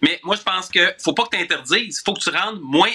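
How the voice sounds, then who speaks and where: The man's pitch sits high. He talks at a moderate pace. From Quebec City suburbs (Charlesbourg). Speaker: political columnist. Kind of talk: radio commentary.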